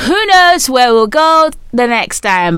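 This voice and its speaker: Against noticeable background noise, a woman with a high pitch talks at a fairly slow pace with very wide pitch swings. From Nigeria. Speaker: podcast host. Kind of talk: casual chat. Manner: animated.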